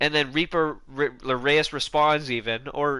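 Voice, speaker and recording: A fairly high-pitched man at a fairly slow pace, with music in the background. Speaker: gaming YouTuber. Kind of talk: casual commentary vlog. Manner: halting, many false starts.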